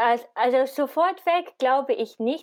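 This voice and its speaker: A woman is speaking with an English accent. Her pace is fairly slow. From Britain. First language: English (speaking German). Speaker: media researcher, podcast co-host. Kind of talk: casual chat about politics.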